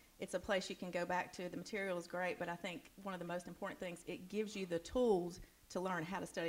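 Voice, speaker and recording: A woman talks at a very fast pace with vocal fry. Her pitch sits fairly low. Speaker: church member who disciples others. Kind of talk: casual interview on stage. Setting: church with audience.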